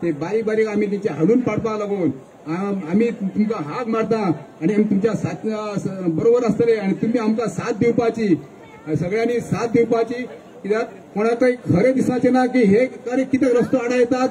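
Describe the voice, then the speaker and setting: A high-pitched male voice with ordinary pitch variation over light background noise. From Goa. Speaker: village committee representative; speaker. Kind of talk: public speech. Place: stage. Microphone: handheld.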